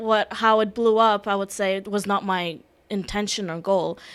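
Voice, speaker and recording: A woman with a non-native accent speaks at a medium pitch in a monotone, flat intonation. The recording is very clean, with a silent background. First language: Russian. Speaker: security specialist and personal branding consultant. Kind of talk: podcast interview.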